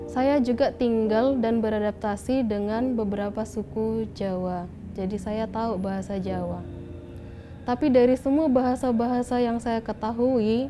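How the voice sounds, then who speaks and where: A plain, everyday voice from a woman, pitched fairly high, with fairly even intonation and a moderate pace. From Batak, North Sumatra, Indonesia. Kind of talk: personal testimony interview.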